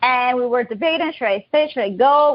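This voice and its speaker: A woman speaks with a Colombian accent. Her pitch is high. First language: Spanish. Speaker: digital marketing agency owner. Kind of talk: interview.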